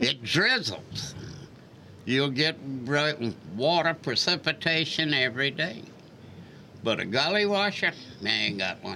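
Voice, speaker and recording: The speaker talks at a fairly slow pace with a Lowcountry accent, leaving long, frequent pauses. Pitch swings very widely. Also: man, fairly high pitch for a man. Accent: Lowcountry Southern US. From Charleston, South Carolina. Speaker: public housing resident, retiree. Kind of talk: interview, life story. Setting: radio studio.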